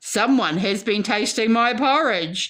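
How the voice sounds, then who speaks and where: Using a put-on character voice, a woman growls at a fairly high pitch and a fairly slow pace. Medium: read story. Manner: gruff.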